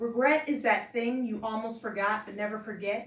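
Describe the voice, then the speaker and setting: A woman with a plain, everyday voice, fairly high pitch, ordinary pitch variation and a moderate pace. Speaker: poet reading her own book. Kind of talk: poetry reading.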